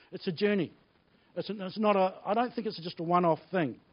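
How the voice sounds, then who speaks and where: A man speaks with a New Zealand accent. His voice is high in pitch, with ordinary pitch variation. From New Zealand (Blenheim). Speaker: pastor. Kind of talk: sermon. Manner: animated.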